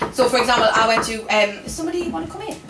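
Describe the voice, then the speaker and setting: A woman with a Geordie accent, very wide pitch swings and a moderate pace, amid noticeable background noise and audible room echo. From Newcastle, northern England (Benwell, West End). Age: 30s. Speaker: comedian. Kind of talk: stand-up. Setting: stage with audience. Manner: animated.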